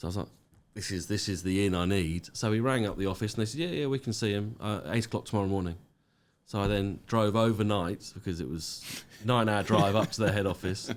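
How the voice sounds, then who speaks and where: A man with a British accent, fairly low in pitch, at a very fast pace. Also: ordinary pitch variation. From UK. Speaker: business owner. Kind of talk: podcast interview. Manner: hesitant, many fillers.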